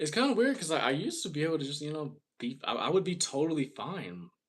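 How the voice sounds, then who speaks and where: A man with vocal fry talks at a fairly quick pace and a fairly high pitch. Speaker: livestreamer. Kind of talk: casual live stream chat. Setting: live stream. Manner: halting, repeating words.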